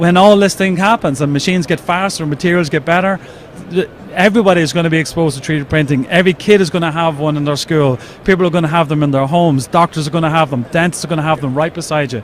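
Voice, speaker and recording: Over noticeable background noise, a man with an Irish accent talks very fast at a fairly high pitch with ordinary pitch variation. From Ireland. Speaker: 3D printer company representative. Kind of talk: trade show interview.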